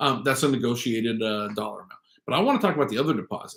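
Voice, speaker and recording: Loud and at a very fast pace, a man talks. He has an American accent. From US West Coast (San Francisco Bay Area). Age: 50s. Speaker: real estate agent and vlog host. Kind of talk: casual talk-to-camera livestream.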